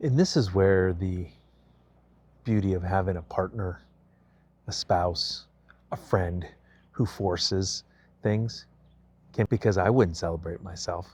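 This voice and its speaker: Very deep and low in pitch, a man's voice is somewhat breathy. He speaks at a fairly slow pace with long, frequent pauses. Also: ordinary pitch variation. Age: 50s. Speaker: vlogger. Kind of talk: personal vlog monologue. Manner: casual, with many fillers.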